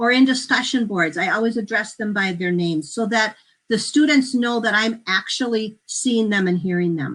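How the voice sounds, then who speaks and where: A fairly high-pitched woman's voice rises and falls with lively intonation against a quiet background. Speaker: education instructor. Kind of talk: conference presentation. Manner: fast; animated.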